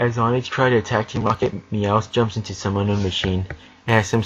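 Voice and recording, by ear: The intonation stays fairly even while reading aloud in a natural voice.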